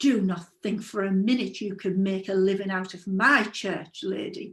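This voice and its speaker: A woman's booming, stern put-on character voice at medium pitch and a moderate pace, with fairly even intonation. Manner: bawling, stern.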